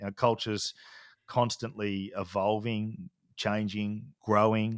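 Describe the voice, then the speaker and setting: In a dry, close sound with no echo and a silent background on a very clean recording, a man with an Australian accent speaks in a monotone, flat way. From Australia, country Victoria. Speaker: leadership and culture consultant. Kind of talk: casual chat.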